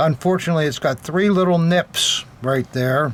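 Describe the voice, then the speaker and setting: Here a man talks through noticeable background noise. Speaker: militaria dealer and collector. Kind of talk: unboxing show-and-tell. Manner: halting, many fillers.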